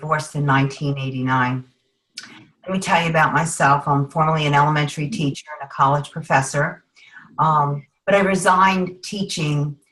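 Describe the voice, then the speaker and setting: Talking at a fairly quick pace, a woman uses a very deep, low pitch with fairly even intonation. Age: 50s. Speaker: juice supplement distributor, former teacher. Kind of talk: testimony. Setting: video call.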